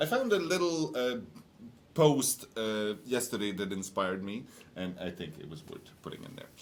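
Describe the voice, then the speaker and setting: Lively in intonation, a man with an ordinary speaking voice keeps a medium pitch and a moderate pace. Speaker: game studio livestream host. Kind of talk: casual livestream chat.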